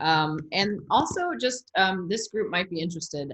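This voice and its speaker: The speech has lively intonation against a quiet background. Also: woman. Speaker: meditation and yoga teacher. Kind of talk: webinar talk.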